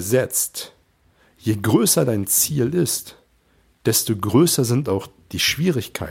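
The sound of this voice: A man speaks at medium pitch with vocal fry and a slightly husky edge. His pitch swings widely.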